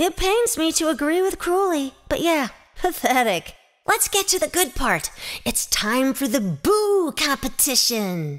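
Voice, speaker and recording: A high-pitched, put-on character voice at a fairly slow pace. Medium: audio drama. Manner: lively, bossy.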